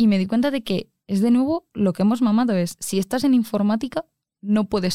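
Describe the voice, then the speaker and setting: In a very clean recording with a silent background, a woman talks at a very fast pace. Her dark, mellow tone has ordinary pitch variation and a dry, close sound with no echo. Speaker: engineering student. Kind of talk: casual chat.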